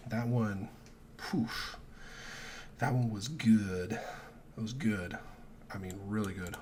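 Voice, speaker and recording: Speaking at a very slow pace with long, frequent pauses, a man with a fairly low pitch is heard amid noticeable background noise and audible room echo. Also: ordinary pitch variation. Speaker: sports betting youtuber. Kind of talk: casual solo vlog. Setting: at home, early morning. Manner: keeping voice down.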